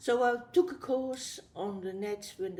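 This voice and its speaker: A woman with a Dutch accent at a moderate pace. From Netherlands. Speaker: abstract artist. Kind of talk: interview. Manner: halting.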